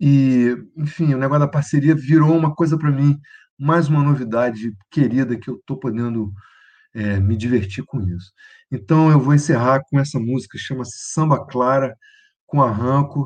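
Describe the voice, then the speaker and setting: At a moderate tempo, a man holds a medium register with ordinary variation in his pitch. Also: quiet background. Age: 60s. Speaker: conductor, pianist, composer and singer. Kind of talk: casual interview. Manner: halting, repeats words.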